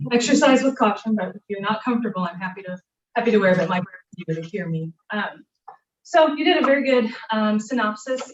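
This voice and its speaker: This woman's voice sits fairly high and moves with ordinary pitch variation. She speaks at a moderate pace. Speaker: planning facilitator. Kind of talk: workshop facilitation. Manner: loud.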